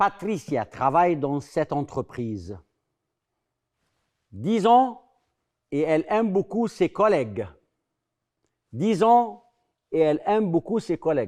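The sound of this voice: A man speaks slowly at a fairly high pitch, his slightly mellow tone moving in big pitch swings. Long, frequent pauses break up his speech.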